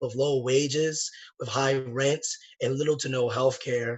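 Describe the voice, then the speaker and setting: Somewhat breathy, a man speaks at a medium pitch with monotone, flat intonation. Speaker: socialist organizer. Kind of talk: political speech.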